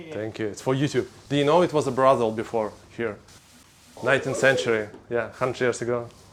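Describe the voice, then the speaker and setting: Noticeable background noise is present. A man speaks at a medium pitch. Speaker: interviewer, channel host. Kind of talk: casual interview questions.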